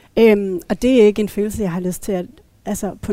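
The woman's tone is dark and mellow. She speaks at a fairly quick pace. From Denmark, Thy (northwest Jutland). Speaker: feminist panelist. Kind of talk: casual panel discussion. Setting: café.

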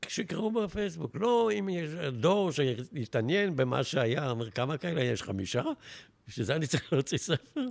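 At a moderate pace, a man speaks in a fairly high voice with very wide pitch swings. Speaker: retired advertising executive. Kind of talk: interview storytelling.

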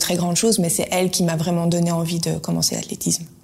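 A woman speaks in a fairly low voice with monotone, flat intonation. Noticeable background noise runs underneath. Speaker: former sprinter, clothing entrepreneur. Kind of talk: interview.

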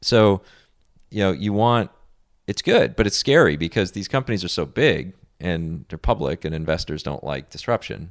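A man with a very deep, low pitch and vocal fry speaks at a moderate pace with lively intonation. The recording is very clean and dry, close with no echo and a silent background. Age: 30s. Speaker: entrepreneur. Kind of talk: interview. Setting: host's home.

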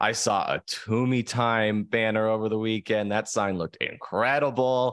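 This man has a plain, everyday voice at a medium pitch, with fairly even intonation. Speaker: podcast co-host. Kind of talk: casual chat.

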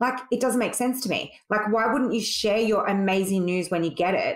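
A woman with an Australian accent, fairly high in pitch with ordinary variation, at a moderate pace. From Sydney, Australia. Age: 40s. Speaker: beauty salon owner. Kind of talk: casual interview chat.

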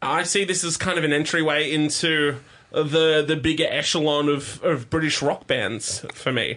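A man's fairly high voice at a moderate pace, very even in loudness, with noticeable background noise. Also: ordinary pitch variation. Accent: Australian. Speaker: podcast host. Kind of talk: casual chat. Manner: animated.

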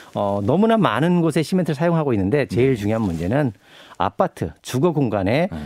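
With very wide pitch swings around a medium pitch, a man speaks at a fairly quick pace. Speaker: environmental activist and pastor. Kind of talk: interview. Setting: studio.

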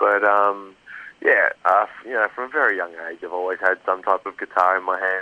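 Over a quiet background, a man with an Australian accent speaks in a bright, sharp tone at a fairly low pitch, with fairly even intonation and a dry, close sound with no echo. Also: moderate pace. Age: 30s. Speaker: metal band vocalist and guitarist. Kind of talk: interview. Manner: halting.

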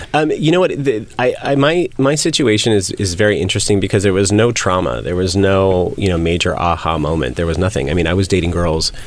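Speaking with a General American accent, a man uses a fairly low pitch with very wide pitch swings. His loudness stays very even at a fairly quick pace, over noticeable background noise. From California. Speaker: realtor and reality TV cast member. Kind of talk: interview.

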